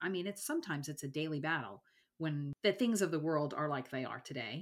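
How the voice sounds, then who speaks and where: A very clean recording with a silent background captures a woman with a very deep, low pitch and ordinary pitch variation. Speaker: podcast host. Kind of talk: interview, faith conversation.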